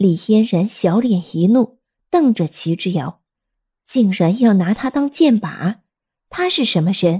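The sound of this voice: Lively intonation lifts an unforced reading voice against a quiet background.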